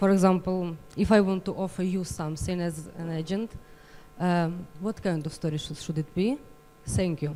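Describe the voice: A woman's dark, mellow, fairly low voice in a Ukrainian accent, at a moderate pace with ordinary pitch variation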